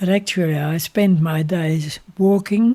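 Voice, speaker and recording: A man's dark, mellow voice with an Australian accent, very slow pace and ordinary pitch variation. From Australia, rural Victoria. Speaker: retired minister and civil engineer. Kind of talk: interview.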